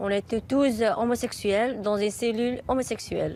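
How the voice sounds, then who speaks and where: The recording is very clean with a silent background. The speaker goes fairly slowly with ordinary pitch variation. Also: woman. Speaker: LGBT interviewee. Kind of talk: interview. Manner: halting.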